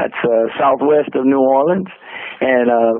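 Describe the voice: A man at a medium pitch and fairly slow pace, with ordinary pitch variation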